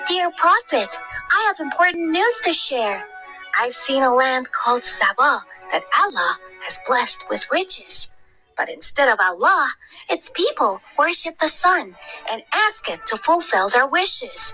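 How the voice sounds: Putting on a cartoonish character voice, a woman speaks at a moderate pace in an extremely high pitch with very wide pitch swings, while faint music plays in the background.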